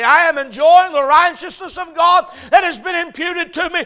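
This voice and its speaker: Noticeable background noise sits behind a man speaking in a raised, projected voice with a Georgia accent. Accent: US Southern (Georgia). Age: 30s. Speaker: pastor. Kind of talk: sermon. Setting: church. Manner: animated.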